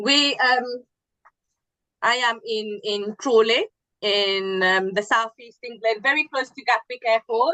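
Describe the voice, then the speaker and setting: A woman's fairly high, bright, sharp voice at a very slow pace, with fairly even intonation, in a dry, close sound with no echo. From Mauritius. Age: 30s. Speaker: Chagossian community member. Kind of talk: interview.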